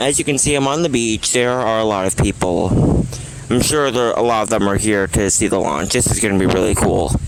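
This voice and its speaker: A man's medium-pitched voice at a fairly quick pace and very even loudness, over noticeable background noise. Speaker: vlogger. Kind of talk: casual vlog commentary. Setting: outdoors on a beach. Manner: excited; soft-spoken.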